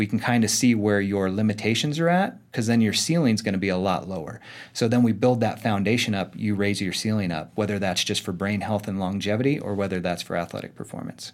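In an American accent, a man with an unremarkable speaking voice talks at a fairly quick pace and fairly low pitch, with ordinary pitch variation, hardly any pauses, and a very clean recording over a silent background. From Arizona. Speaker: chiropractor and performance coach. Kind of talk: casual interview. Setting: studio.

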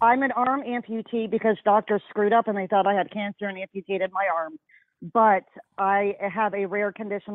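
A woman with an American accent has an unremarkable speaking voice at medium pitch, talking at a moderate pace with fairly even intonation.

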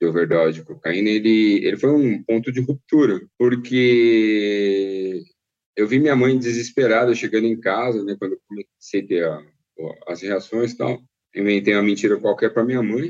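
Speaking at a fairly slow pace, a man has a plain, everyday voice at a medium pitch. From Brazil, São Paulo east side. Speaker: former bike messenger and cyclist. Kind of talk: interview testimony.

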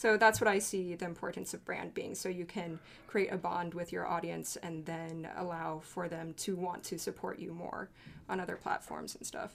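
At a moderate pace, a woman speaks with vocal fry at a fairly low pitch and fairly even intonation. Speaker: YouTuber and reactor. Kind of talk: casual roundtable discussion.

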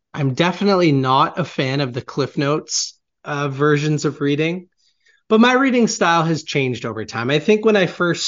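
A man's normal speaking voice, a normal speaking voice, fairly high in pitch, at a moderate pace. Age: 20s. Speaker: author and marketing agency founder. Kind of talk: interview.

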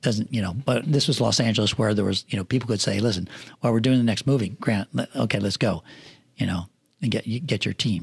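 Speaking at a very fast pace, a man with an American accent sounds somewhat breathy and uses ordinary pitch variation. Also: medium pitch for a man. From rural Pennsylvania. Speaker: film assistant director and production manager. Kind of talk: casual interview chat. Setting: studio.

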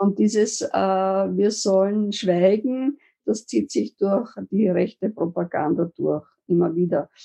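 Very slowly, a woman speaks with a dark, mellow tone at a medium pitch, using ordinary pitch variation. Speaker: activist, founder of a grandmothers' protest group. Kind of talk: interview.

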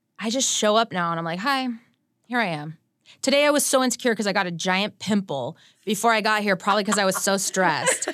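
On a very clean recording with a silent background, a woman with a medium pitch rushes along at a very fast pace with lively intonation. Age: 30s. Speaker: singer-songwriter. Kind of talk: interview. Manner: animated.

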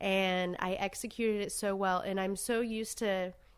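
In a very clean recording with a silent background, a woman speaks with an American accent. Her pitch is medium, and her intonation is monotone and flat. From US South, Savannah, Georgia. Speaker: street artist. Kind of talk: casual interview chat. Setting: around a dining room table.

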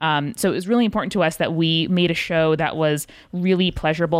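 Dry and close with no echo, a woman with a normal speaking voice talks fairly quickly at a fairly low pitch, her intonation fairly even. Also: very clean recording, silent background. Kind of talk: casual interview chat.

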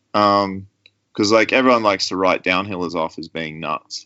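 Fairly even intonation carries this voice with an Australian accent. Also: man. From Australia, rural New South Wales. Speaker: mountain bike suspension tuner and former race mechanic. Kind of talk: interview.

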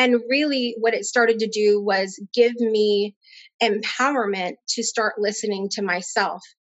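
A normal speaking voice: a woman with an American accent, fairly high in pitch, with fairly even intonation and a fairly slow pace. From Connecticut. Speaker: spiritual coach and healer. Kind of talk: interview.

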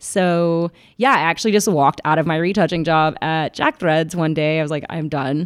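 Against a silent background in a very clean recording, a woman speaks at a moderate pace with an ordinary speaking voice, fairly low in pitch and with ordinary pitch variation. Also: dry, close sound with no echo. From Atlanta, Georgia, US South. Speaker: documentary photographer. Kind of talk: casual interview chat.

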